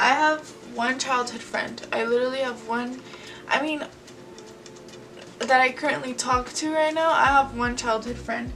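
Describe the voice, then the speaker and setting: A woman speaks at a fairly slow pace with an American accent. Noticeable background noise and audible room echo are present. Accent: slight Spanish accent at times. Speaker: YouTuber. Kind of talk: casual Q&A vlog while painting. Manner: casual, filler-heavy.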